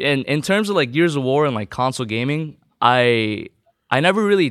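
Lively intonation from a man, recorded very cleanly against a silent background. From US, born in the Philippines. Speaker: professional esports player. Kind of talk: casual interview.

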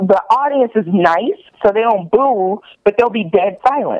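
A woman's fairly high voice at a moderate pace, a plain, everyday voice with lively intonation. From US South, Virginia. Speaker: comedian. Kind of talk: casual chat. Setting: phone call.

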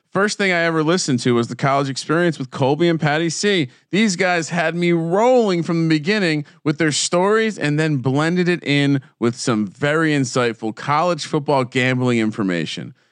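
A man with a normal speaking voice and an American accent talks at a moderate pace in a fairly high pitch, with hardly any pauses, against a quiet background. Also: lively intonation. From New Jersey. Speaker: sports betting podcaster. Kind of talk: casual chat.

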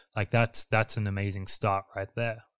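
A man talks with an Australian accent at a fairly quick pace. His intonation is monotone and flat, on a very clean recording with a silent background. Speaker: podcast host, designer. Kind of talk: interview.

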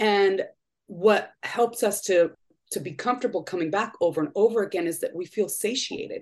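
Woman's voice, a plain, everyday voice, pitched in the middle, usual rise and fall, and an average tempo. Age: 40s. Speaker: program participant. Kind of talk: casual chat.

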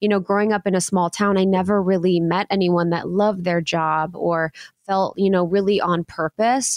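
A normal speaking voice from a woman at medium pitch, fairly quick in pace with fairly even intonation, on a very clean recording with a silent background. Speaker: podcast host. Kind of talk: casual interview chat.

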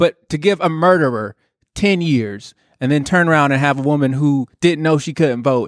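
A normal speaking voice at a moderate pace with ordinary pitch variation, captured in a dry, close sound with no echo on a very clean recording with a silent background. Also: man. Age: 30s. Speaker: podcast co-host. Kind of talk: heated debate.

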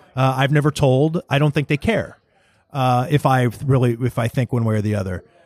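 With an American accent, a man speaks in an ordinary speaking voice at medium pitch, using ordinary pitch variation at a fairly quick pace, and the sound is dry and close with no echo. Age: 40s. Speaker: sports writer and radio host. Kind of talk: casual interview chat. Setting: restaurant, recorded in person.

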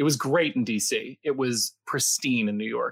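A man with an unremarkable speaking voice and a fairly high pitch speaks with ordinary pitch variation, in a dry, close sound with no echo. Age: 40s. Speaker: Broadway actor and voice actor. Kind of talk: casual interview chat. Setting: live video call stream.

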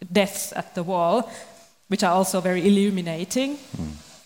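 The speaker keeps a moderate pace. Background noise is noticeable. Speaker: podcast host. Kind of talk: moderated panel discussion.

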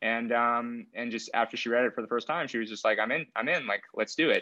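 A man with an American accent speaks in a plain, everyday voice at medium pitch. His pace is fairly quick, and the background is quiet. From US, San Francisco Bay Area (Benicia, East Bay). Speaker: screenwriter. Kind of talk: interview.

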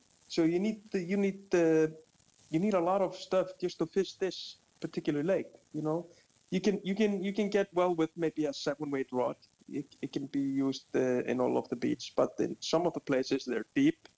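A man with an Icelandic accent talks at a moderate pace in a high pitch, his tone dark and mellow with ordinary pitch variation, recorded dry and close with no echo. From Iceland, Reykjavik. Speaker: fishing guide. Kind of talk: interview.

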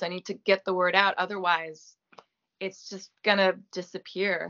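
This woman's pitch sits in the middle range. She keeps a moderate pace. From Quebec, Gaspé. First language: French. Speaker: actress. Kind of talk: interview. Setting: video call.

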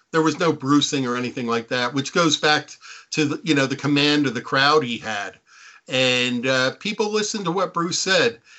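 A man with an American accent, fairly high-pitched with lively intonation, at a moderate pace. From Jersey Shore, New Jersey. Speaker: author and tour guide. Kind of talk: casual chat. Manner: halting.

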